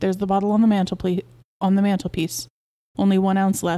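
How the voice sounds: Natural reading aloud over near silence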